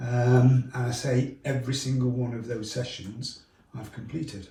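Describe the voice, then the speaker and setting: A man talks at a moderate pace and medium pitch in a normal speaking voice. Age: 60s. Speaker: triathlete. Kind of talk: testimonial interview answer.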